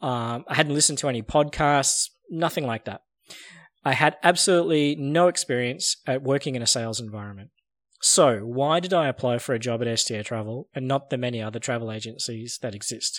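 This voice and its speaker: Using an ordinary speaking voice, a man talks at a fairly quick pace with medium pitch and ordinary pitch variation. The recording is very clean, with a silent background. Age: 40s. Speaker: sales podcast host. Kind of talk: scripted narration.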